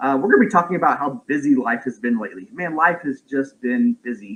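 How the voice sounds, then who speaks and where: A loud man's voice, fairly high-pitched, with very wide pitch swings and a fairly quick pace. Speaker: parent of a medically complex child, vlogger. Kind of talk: livestream chat. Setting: home livestream. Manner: halting.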